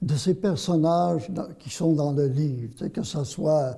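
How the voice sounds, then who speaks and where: The tone is dark and mellow. A man speaks at a fairly slow pace. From Quebec, Vaudreuil. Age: 80s+. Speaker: journalist and author. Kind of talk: interview. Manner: halting, repeats words.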